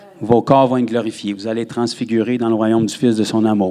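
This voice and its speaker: A man with a Quebec accent talks at a fairly quick pace and medium pitch, his intonation monotone and flat, over noticeable background noise. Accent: Québécois French. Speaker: pastor. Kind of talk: sermon.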